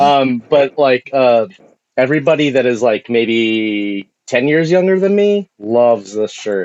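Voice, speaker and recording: Speaking fairly slowly in an American accent, a man with a normal speaking voice at medium pitch uses lively intonation. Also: dry, close sound with no echo. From Southern California, San Bernardino. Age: 40s. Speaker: artist and musician. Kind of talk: casual chat.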